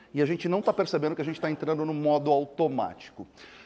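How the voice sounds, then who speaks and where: This man speaks at a very fast pace. His voice is high-pitched. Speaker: keynote speaker on technology and innovation. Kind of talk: keynote talk. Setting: stage with audience. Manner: animated.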